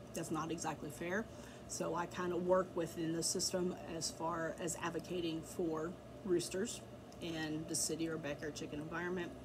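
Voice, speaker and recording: Monotone, flat intonation from a woman at a moderate pace, with audible room echo and noticeable background noise. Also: fairly low pitch for a woman. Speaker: backyard chicken keeper and blogger. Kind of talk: tutorial. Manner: casual, filler-heavy with ums.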